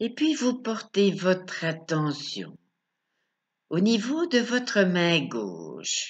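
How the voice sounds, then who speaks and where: Taking long, frequent pauses, a woman speaks at a very slow pace with very wide pitch swings. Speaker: sophrology and hypnosis coach. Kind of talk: guided meditation. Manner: slow, soothing, calm, with long pauses; soft-spoken, gentle, repetitive. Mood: calm, soft, slow. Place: home room. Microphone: webcam.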